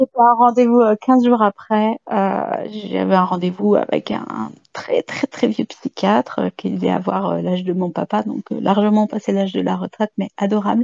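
Speech comes at a fairly slow pace with hardly any pauses. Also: woman. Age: 50s. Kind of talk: testimony.

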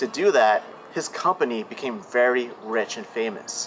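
Over light background noise, a man talks at a moderate pace with lively intonation. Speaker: urban explorer host. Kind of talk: casual vlog chat. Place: garden.

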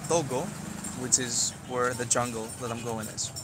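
Recorded with a dry sound and no echo, a man speaks at a fairly slow pace over noticeable background noise. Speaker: travel vlogger. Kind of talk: casual vlog chat. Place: bus. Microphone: phone near.

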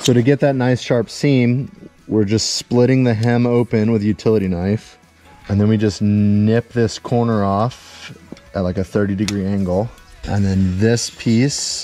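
A man's fairly low, fairly slow voice with very even loudness, in a dry sound with no echo and faint music in the background. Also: fairly even intonation. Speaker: builder vlogger. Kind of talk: tutorial. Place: open country. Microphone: phone near.

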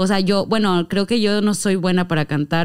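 A woman in a normal speaking voice, medium pitch, fairly even intonation and a moderate pace, against a quiet background. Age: 20s. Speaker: reggaeton rapper and influencer; podcast guest. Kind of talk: casual chat. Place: studio. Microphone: studio mic.

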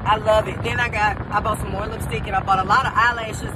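A woman speaks while noticeable background noise is heard. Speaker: vlogger. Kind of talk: casual vlog chat. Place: car.

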